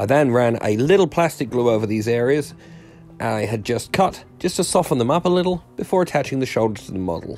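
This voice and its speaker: A man talks at a fairly quick pace in a medium pitch, with very wide pitch swings. Music plays in the background. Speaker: miniature hobbyist. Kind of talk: hobby tutorial voiceover.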